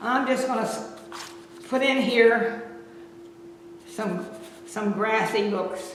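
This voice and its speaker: Very slow speech broken by long, frequent pauses comes through over noticeable background noise. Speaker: painting instructor. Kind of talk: tutorial.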